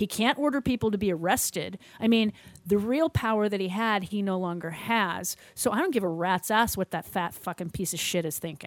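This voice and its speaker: In an unremarkable speaking voice, a woman talks at a fairly quick pace with medium pitch and ordinary pitch variation, the sound dry and close with no echo. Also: hardly any pauses. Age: 50s. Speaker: podcast host. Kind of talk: casual chat.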